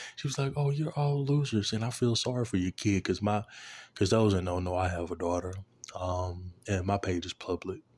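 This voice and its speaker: A man with a fairly low voice speaks at a moderate pace with lively intonation and a somewhat breathy quality, recorded very cleanly against a silent background. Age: 20s. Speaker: podcast host. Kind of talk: casual monologue. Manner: casual, filler-heavy.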